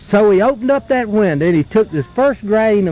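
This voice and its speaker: A man with an Appalachian accent speaks at a high pitch, his voice swinging very widely in pitch. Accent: Southern US, Appalachian. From North Carolina. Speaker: folklorist, storyteller. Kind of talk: folk tale told around a campfire. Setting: outdoors, live at a campfire in the woods.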